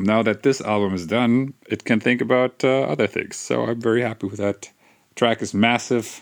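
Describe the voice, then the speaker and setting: In a German accent, a man speaks at a moderate pace, his medium pitch varying in an ordinary way. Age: 40s. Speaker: electronic musician. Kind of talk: casual solo monologue. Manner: halting.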